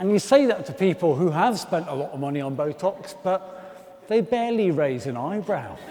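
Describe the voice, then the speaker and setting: Lively intonation at a moderate pace in a Birmingham accent, with noticeable background noise. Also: man, high pitch for a man. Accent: Birmingham (Brummie) English. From Birmingham, England. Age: 40s. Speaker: comedian. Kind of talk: stand-up.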